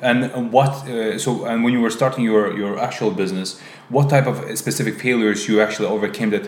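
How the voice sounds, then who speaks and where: Noticeable background noise behind a man speaking at a very fast pace with ordinary pitch variation. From Azerbaijan. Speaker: podcast host. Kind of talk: casual interview conversation.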